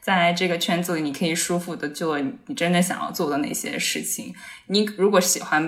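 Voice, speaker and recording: Speaking at a fairly quick pace, a woman with fairly low pitch and ordinary pitch variation is heard against audible room echo. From Kunming, China. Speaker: psychology podcast co-host. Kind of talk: casual chat.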